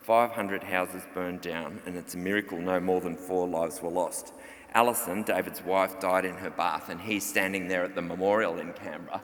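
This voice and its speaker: A man with an Australian accent talks at a fairly quick pace in a very deep, low voice with fairly even intonation. There is audible room echo and noticeable background noise. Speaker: journalist and author. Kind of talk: conference presentation. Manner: fast.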